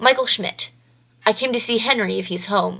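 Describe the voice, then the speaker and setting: This is a put-on character voice with a raspy sound. It moves at a moderate pace with ordinary pitch variation. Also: woman. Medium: read story. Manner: awkward, unsure.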